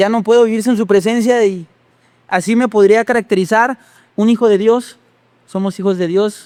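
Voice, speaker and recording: Long, frequent pauses break up a man's speech at a moderate pace. His pitch is high and his intonation fairly even. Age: 30s. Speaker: pastor. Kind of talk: testimony.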